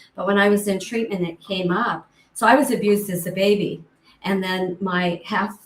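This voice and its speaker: In an American accent, a woman talks at a moderate pace with a somewhat breathy voice. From US rural ranching community. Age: 70s. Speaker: author and abuse survivor. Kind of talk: interview testimony.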